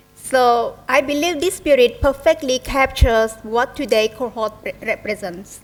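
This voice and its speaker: In a Cambodian accent, the speaker goes at a fairly slow pace with hardly any pauses and ordinary pitch variation, music playing in the background. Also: woman, high pitch for a woman. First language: Khmer. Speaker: investment manager, guest speaker. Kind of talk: formal speech at an event. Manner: formal.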